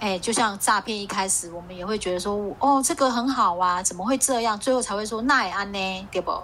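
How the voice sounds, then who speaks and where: A woman talks at a fairly quick pace with hardly any pauses. Her tone is bright and sharp, her pitch medium with ordinary variation. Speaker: podcast co-host. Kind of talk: casual chat. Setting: video call.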